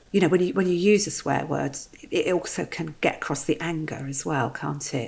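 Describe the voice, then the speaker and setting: A woman with vocal fry and a very deep, low pitch speaks at a moderate pace, her pitch varying in an ordinary way. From southern England, Guildford area. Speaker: podcast host, therapist. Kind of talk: casual chat.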